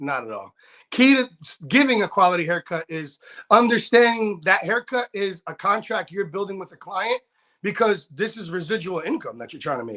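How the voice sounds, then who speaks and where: A man's high, raised and projected voice, bright and sharp in tone, animated, with lively intonation, big swings in loudness and a moderate pace, in a dry, close sound with no echo. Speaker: barber and motivational speaker. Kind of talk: casual chat. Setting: live stream interview.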